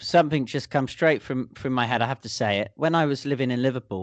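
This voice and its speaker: A man speaks with a British accent and ordinary pitch variation. The background is quiet. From England. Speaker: podcast host. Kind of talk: casual chat. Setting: studio. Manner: jokey, bantering.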